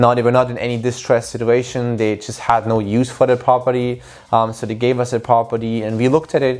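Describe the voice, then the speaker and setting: The speaker talks at a very fast pace with hardly any pauses. The intonation stays monotone and flat. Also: man, medium pitch for a man. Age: 20s. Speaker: real estate entrepreneur and student athlete. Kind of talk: vlog explainer. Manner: casual, with fillers.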